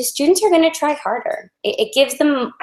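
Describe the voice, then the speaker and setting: A woman speaking at a moderate pace. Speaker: education presenter. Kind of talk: webinar presentation.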